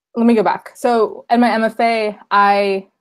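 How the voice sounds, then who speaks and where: This is a woman speaking. The recording is very clean, with a silent background. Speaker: poet. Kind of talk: lecture. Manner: fast.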